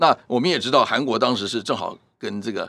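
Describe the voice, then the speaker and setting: A man's bright, sharp tone with vocal fry, at a moderate pace. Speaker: professor. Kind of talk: interview.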